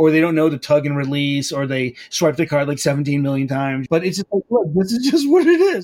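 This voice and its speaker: Speaking at a fairly quick pace, a man with a fairly high pitch and lively intonation has a plain, everyday voice. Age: 50s. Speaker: butcher and entrepreneur. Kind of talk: interview.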